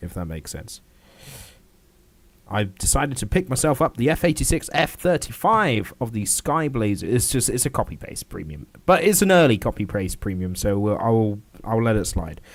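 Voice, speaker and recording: In a British accent, a man speaks at a moderate pace and medium pitch with very wide pitch swings. The recording is very clean, with a silent background. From Britain. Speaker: gaming livestreamer. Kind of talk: casual gameplay livestream commentary. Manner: casual, with frequent filler words.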